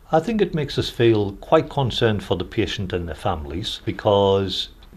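A man with a slight Newcastle accent speaks at a moderate pace, fairly low in pitch, with lively intonation. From Newcastle, northern England. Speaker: hospital chaplain, priest. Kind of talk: interview testimony.

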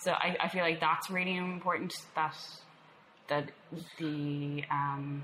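A woman with an Irish accent speaks at a very deep, low pitch. Audible room echo and noticeable background noise come through. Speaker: punk bassist and poet. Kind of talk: interview. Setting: cafe.

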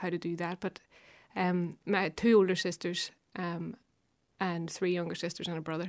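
A woman with a Belfast accent at a moderate pace. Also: very clean recording, silent background. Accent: Belfast Northern Irish. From West Belfast. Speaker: harpist and composer. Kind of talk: casual radio interview. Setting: studio.

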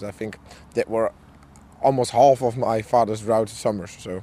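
Spoken with a Dutch accent, the voice has a dark, mellow tone. Its intonation is monotone and flat. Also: man. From Netherlands. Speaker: farmer. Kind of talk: interview. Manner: halting.

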